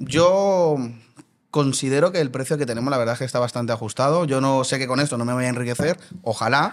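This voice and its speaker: A man rattles along at a very fast pace, his voice at a medium pitch. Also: ordinary pitch variation. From Colombia. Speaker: burger restaurant owner. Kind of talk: casual interview.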